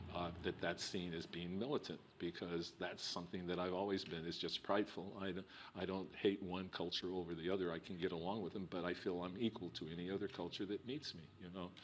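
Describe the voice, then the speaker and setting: A man talks at a fairly quick pace in a New Mexico accent. His pitch is very deep and low. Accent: New Mexico, which he calls a non-. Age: 60s. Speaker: filmmaker. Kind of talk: oral history interview. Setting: recorded interview. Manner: halting, many repetitions.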